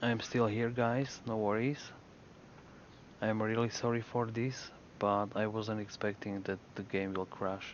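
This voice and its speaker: A man with a strong Slovak accent, fairly low pitch, monotone, flat intonation and a fairly slow pace. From Slovakia. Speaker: video game streamer. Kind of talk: live gaming stream chat. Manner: halting, with fillers.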